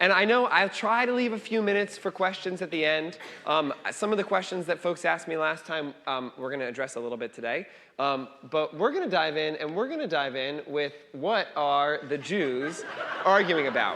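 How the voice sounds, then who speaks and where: This man has a fairly high, bright, sharp voice. He talks at a moderate pace with lively intonation. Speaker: rabbi teaching a class. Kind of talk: lecture.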